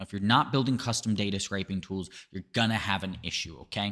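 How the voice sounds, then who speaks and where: In a normal speaking voice, a man speaks fairly quickly at a fairly low pitch with ordinary pitch variation. The recording is very clean, with a silent background. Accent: American. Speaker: lead generation agency founder. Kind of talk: sales pitch.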